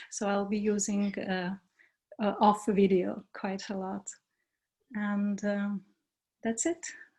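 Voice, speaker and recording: Somewhat breathy and dark, mellow in tone, a woman with a Lithuanian accent speaks at a very slow pace with long, frequent pauses. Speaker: workshop facilitator. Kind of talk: group introduction. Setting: video call. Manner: hesitant.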